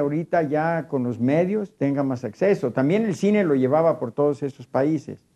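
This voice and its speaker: Against a quiet background, the speaker uses a dark, mellow tone and lively intonation at a moderate pace, in a Mexican accent. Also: man. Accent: Mexican Spanish (Jalisco). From Mexico, southwest Jalisco (near Cocula); Jalisco, Mexico. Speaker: traditional mariachi musician; guest. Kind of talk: televised panel discussion. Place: studio. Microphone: lapel.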